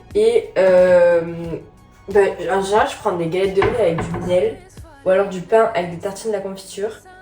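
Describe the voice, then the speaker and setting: Music behind a woman's medium-pitched, flat, monotone delivery at a moderate pace. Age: 20s. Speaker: fitness and lifestyle vlogger. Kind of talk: casual vlog talk to camera.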